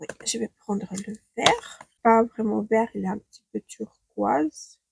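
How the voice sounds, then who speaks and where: Her voice is somewhat breathy and fairly high in pitch. The woman speaks at a very slow pace. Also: dry, close sound with no echo. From Ukraine. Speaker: beauty stylist. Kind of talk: makeup tutorial talk to camera.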